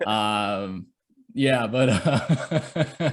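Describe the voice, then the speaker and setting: A man speaks with a slight Michigan accent. The recording is very clean, with a silent background. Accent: light Michigan. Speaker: author and social media creator. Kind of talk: interview.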